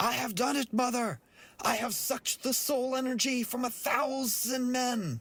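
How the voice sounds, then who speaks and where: This is a put-on character voice. Its intonation is fairly even. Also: man, extremely high pitch for a man, moderate pace. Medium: read story.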